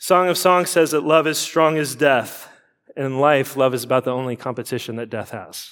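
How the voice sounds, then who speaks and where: The man has a plain, everyday voice with a fairly high pitch. He speaks at a moderate pace with ordinary pitch variation. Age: 40s. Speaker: pastor. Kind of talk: sermon.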